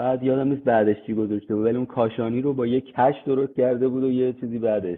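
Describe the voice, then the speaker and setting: A man talks at a very fast pace with hardly any pauses. His intonation stays monotone and flat. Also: medium pitch for a man. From Iran, Tehran (east Tehran). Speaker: construction technology manager (VDC/BIM). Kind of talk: interview.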